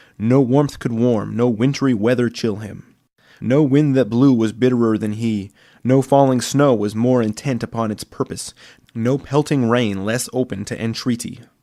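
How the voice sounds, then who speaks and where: A plain, everyday voice from a man at medium pitch, moderately paced, with fairly even intonation, on a very clean recording with a silent background. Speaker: aspiring voice actor. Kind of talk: audiobook narration.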